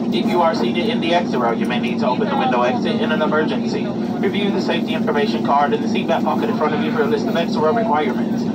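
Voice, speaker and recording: Loud background noise runs behind a man talking. He goes at a very fast pace with hardly any pauses. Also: ordinary pitch variation. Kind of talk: safety announcement. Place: plane.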